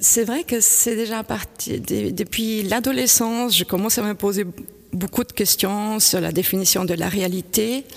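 Speech at a fairly slow pace, with ordinary pitch variation. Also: woman, medium pitch for a woman. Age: 50s. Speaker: painter. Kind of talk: interview. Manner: halting, with repetitions.

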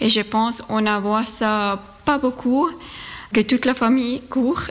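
A woman talks at a very slow pace with a Swiss German accent. Her intonation stays fairly even over noticeable background noise. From Zurich, Switzerland. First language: Swiss German (speaking French). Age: 30s. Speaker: amateur runner. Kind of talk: radio interview. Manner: halting.

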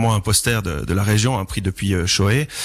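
A man with an unremarkable speaking voice, fairly low pitch, ordinary pitch variation and a moderate pace. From Chablais, Vaud, Switzerland. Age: 30s. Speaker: local politician. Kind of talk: radio debate.

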